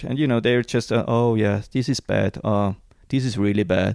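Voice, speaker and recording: Recorded very cleanly with a silent background and a dry, close sound free of echo, a man with a Swiss German accent speaks at a medium pitch and with fairly even intonation. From Switzerland, Zurich Highlands. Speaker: small business owner and mission supporter. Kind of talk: casual interview. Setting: basement at home. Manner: halting.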